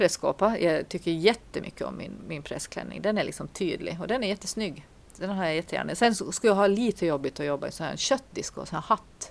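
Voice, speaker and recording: Her voice showing vocal fry, a woman talks at a fairly quick pace with lively intonation and big swings in loudness. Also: medium pitch for a woman, hardly any pauses. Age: 40s. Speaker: podcast co-host, priest. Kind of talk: casual chat.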